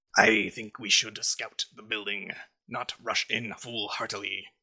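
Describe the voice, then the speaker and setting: Here a man uses a put-on character voice. His pitch is medium and his pace fairly slow. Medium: actual play. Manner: measured, formal.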